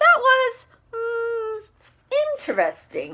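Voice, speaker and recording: The voice is squeaky. It is a put-on character voice. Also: woman, extremely high pitch for a woman. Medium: read story. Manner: warm, gentle.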